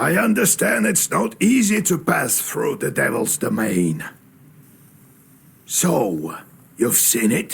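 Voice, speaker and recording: Using a put-on character voice, a man speaks high for a man at a fairly slow pace, with long, frequent pauses. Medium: video game. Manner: musing, folksy.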